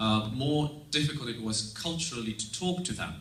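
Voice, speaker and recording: A man talks fairly slowly with lively intonation, with audible room echo and noticeable background noise. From Estonia. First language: Russian. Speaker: exchange student. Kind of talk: presentation.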